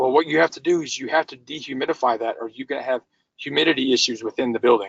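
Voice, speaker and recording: This is a man speaking. His pitch sits fairly high. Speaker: energy management consultant. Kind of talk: webinar presentation. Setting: webinar. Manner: fast.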